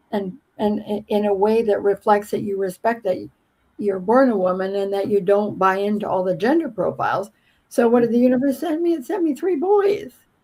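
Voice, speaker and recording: Lively intonation, a fairly quick pace and a dark, mellow tone. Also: woman, fairly high pitch for a woman. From Canada, southern Alberta. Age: 70s. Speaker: former journalist, astrology podcast host. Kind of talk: casual interview chat. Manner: halting, repeats words.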